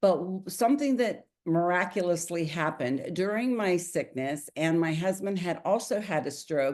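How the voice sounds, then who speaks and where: Over a quiet background, a woman with an unremarkable speaking voice and fairly low pitch talks at a moderate pace with lively intonation and hardly any pauses. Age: 60s. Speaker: network marketing distributor. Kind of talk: testimony.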